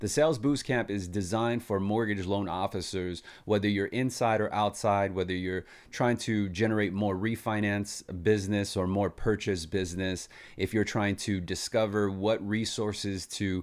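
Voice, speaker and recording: Against a quiet background, a man talks in an unremarkable speaking voice with a fairly low pitch. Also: moderate pace. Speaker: sales trainer. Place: home room.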